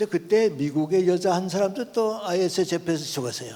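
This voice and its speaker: The voice belongs to a man and sits high in pitch. Its tone is dark and mellow. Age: 80s+. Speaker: philosopher and professor emeritus. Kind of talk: lecture.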